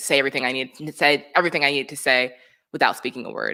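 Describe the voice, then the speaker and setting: In a very clean recording with a silent background, a woman speaks with a very deep, low pitch and a bright, sharp tone. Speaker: performance artist and dancer. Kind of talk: interview. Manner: fast.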